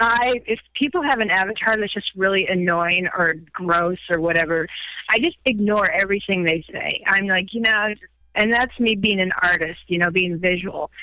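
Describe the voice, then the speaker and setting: A woman at a moderate pace and medium pitch, with ordinary pitch variation and an ordinary speaking voice. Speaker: caller.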